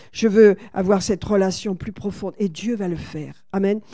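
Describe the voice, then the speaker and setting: A woman with a medium-pitched voice talks fairly slowly. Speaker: pastor. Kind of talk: sermon. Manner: animated.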